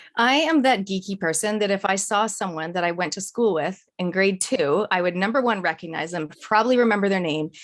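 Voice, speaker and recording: The speaker is a woman with a fairly quick pace. Ordinary variation marks her pitch. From Canada. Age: 40s. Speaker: business coach and speaker. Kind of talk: podcast interview.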